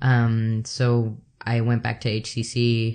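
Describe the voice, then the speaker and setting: Against a quiet background, a man talks in a monotone, flat intonation at a medium pitch. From El Salvador. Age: 30s. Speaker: photographer and artist. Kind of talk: interview conversation. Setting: at the host's home.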